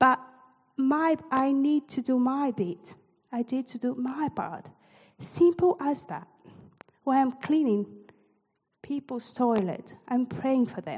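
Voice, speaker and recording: A woman's high voice with lively intonation, very slow and broken by long, frequent pauses. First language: not English. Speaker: church leader. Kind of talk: sermon. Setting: church.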